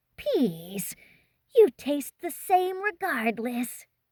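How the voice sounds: Putting on a character voice, a woman speaks very slowly at a high pitch, her voice swinging very widely and carrying a hissing sound.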